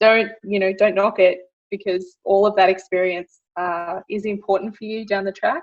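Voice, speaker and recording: A woman with an Australian accent at a medium pitch, moderate in pace, with big swings in loudness. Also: ordinary pitch variation. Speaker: medical engineer. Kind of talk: interview.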